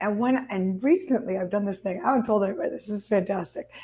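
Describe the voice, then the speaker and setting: Somewhat breathy, a woman speaks against a quiet background. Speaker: values coach and speaker. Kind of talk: interview. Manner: halting, self-correcting.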